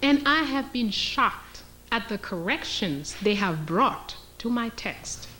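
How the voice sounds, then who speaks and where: Over noticeable background noise and audible room echo, a woman speaks at a very slow pace in a fairly high-pitched voice with very wide pitch swings. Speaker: historian and lecturer. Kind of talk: lecture.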